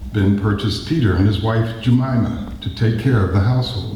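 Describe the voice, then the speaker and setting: There is noticeable background noise and audible room echo as a man speaks at a moderate pace with fairly even intonation. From US West Coast, San Francisco. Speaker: poet. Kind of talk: poetry reading. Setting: stage with audience.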